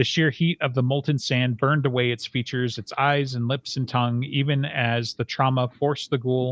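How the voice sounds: The intonation stays fairly even throughout this natural reading voice.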